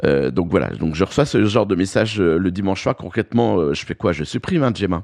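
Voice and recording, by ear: With vocal fry, a man speaks at a low pitch in a slightly mellow tone. His pace is fairly quick, with lively intonation.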